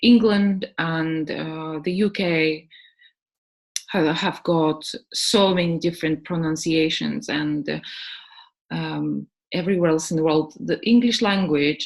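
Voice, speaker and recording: A woman with a non-native accent and a very deep, low voice speaks with ordinary pitch variation against a quiet background. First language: not English. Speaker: English teacher and webinar presenter. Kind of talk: webinar presentation. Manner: halting, many fillers.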